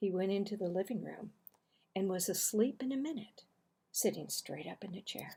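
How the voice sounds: A woman speaks at a fairly slow pace in a dark, mellow tone with a husky, rough edge, ordinary pitch variation and vocal fry.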